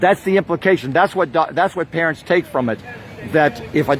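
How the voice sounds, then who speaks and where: Crowd noise fills the background as a man with an American accent speaks at a fairly high pitch with ordinary pitch variation. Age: 70s. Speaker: activist protester. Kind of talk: live stream monologue. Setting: outdoors. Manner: impassioned.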